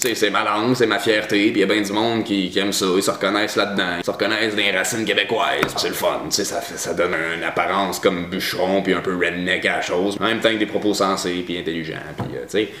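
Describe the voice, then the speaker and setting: Talking very fast, a man speaks at a fairly low pitch. Room echo is audible, and there is noticeable background noise. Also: fairly even intonation. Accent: Quebec. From Quebec, Abitibi. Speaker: vlogger. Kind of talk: casual vlog monologue. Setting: at his mother's house. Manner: hesitant, many fillers and repeats; sometimes exaggerates accent for humor.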